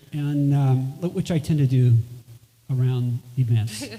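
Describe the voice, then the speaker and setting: The voice has a dark, mellow tone and is somewhat breathy. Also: man. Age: 60s. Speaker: musician. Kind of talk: stage talk between songs. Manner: halting.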